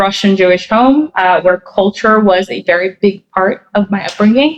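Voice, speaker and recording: A woman speaks at a moderate pace with a New Jersey accent. The sound is dry and close, with no echo. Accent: American, New Jersey. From US Northeast, suburban New Jersey. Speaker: writer and journalist. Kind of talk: interview. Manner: hesitant with fillers.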